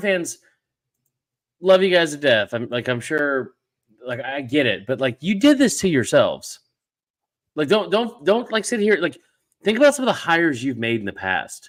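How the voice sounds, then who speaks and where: A man speaks loudly and high in pitch with very wide pitch swings, in a very clean recording with a silent background. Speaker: college football podcast host. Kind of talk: casual chat. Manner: fast.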